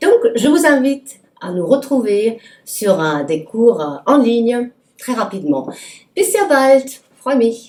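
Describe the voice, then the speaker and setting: A woman speaks with a German accent at a very slow pace. Her fairly high voice makes very wide pitch swings. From Germany. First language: German (speaking French). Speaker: German teacher. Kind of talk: promotional self-introduction. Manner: hesitant, many fillers.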